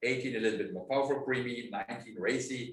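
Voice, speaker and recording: A man of medium pitch with a German accent, with audible room echo. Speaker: winemaker. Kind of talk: interview. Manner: halting.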